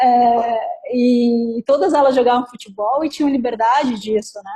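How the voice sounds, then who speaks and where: Using ordinary pitch variation, a woman speaks at a fairly high pitch with a dark, mellow tone. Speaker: talk presenter, works in law. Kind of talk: group discussion in a live talk. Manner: fast.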